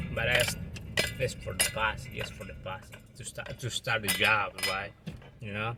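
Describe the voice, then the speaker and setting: With a non-native accent, a man speaks at a fairly slow pace with long, frequent pauses, fairly even intonation and big swings in loudness, over noticeable background noise. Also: medium pitch for a man. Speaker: landscaping and roofing contractor. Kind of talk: casual vlog. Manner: halting, repeats words.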